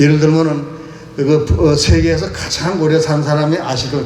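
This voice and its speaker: Speech at a fairly quick pace comes with audible room echo and noticeable background noise. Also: man. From Korea, Chungcheong province. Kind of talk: lecture. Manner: halting, with many fillers.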